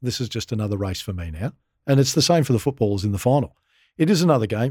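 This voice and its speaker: Very fast and with lively intonation, a man in an Australian accent has a dark, mellow tone, recorded dry and close with no echo, very cleanly against a silent background. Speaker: former Olympian and football club consultant. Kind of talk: casual interview.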